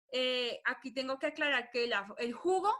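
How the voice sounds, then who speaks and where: A woman raises and projects her voice at a high pitch, her tone bright and sharp, at a moderate pace. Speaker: nutrition doctor. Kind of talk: webinar lecture. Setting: online webinar.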